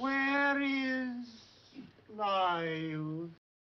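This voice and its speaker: A put-on character voice delivered at a fairly high pitch. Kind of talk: classical Greek tragedy acting. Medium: stage play. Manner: pleading, formal.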